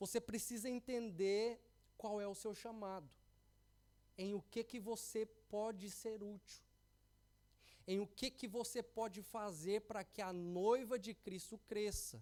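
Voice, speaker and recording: Speaking very slowly with long, frequent pauses, a man uses a high, dark and mellow voice with fairly even intonation. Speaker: pastor. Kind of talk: sermon. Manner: halting.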